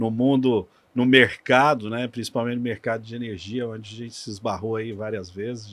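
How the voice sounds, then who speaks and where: An ordinary speaking voice from a man, medium in pitch, with fairly even intonation, a moderate pace, and a very clean recording over a silent background. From Minas Gerais, Brazil. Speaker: energy sector engineer. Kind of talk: podcast interview.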